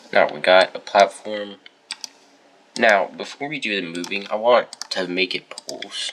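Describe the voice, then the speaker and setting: The speaker talks at a fairly slow pace. Noticeable background noise runs under the voice. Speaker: gaming youtuber. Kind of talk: tutorial. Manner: casual.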